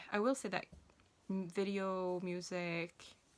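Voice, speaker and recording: A woman speaks in a Swedish accent at a fairly low pitch. Her intonation is fairly even. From Sweden. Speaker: self-published author. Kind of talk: casual vlog talk. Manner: hesitant, many fillers and restarts.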